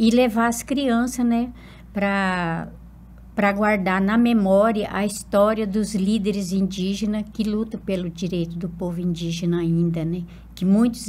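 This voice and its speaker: A woman talks at a medium pitch and a fairly slow pace, her tone dark and mellow. Her voice is somewhat breathy, with fairly even intonation. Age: 70s. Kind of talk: interview.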